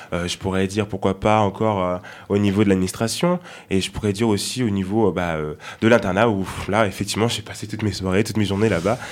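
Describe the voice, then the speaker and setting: A man at a fairly quick pace in a monotone, flat intonation. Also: fairly low pitch for a man. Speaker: law student. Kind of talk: casual chat.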